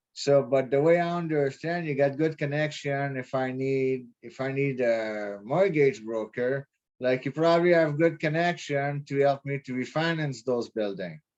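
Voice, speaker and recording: A man with a French accent speaks at a moderate pace, his pitch fairly high. He barely pauses, and his pitch varies an ordinary amount. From Quebec. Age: 30s. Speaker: prospective real estate investor. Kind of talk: casual chat. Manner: halting.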